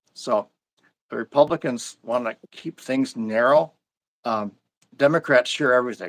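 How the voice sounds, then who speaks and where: A man speaks at a moderate pace with an Upper Midwest accent, his pitch medium and its variation ordinary. The sound is dry and close, with no echo. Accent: Upper Midwest American. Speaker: local party official. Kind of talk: interview. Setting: live stream. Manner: halting, frequent restarts.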